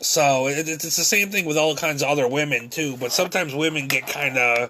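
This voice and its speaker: Amid noticeable background noise, a man talks at a fairly quick pace in a fairly high pitch with ordinary pitch variation. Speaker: vlogger. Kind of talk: monologue vlog. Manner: halting, stumbling over words; repetitive fillers.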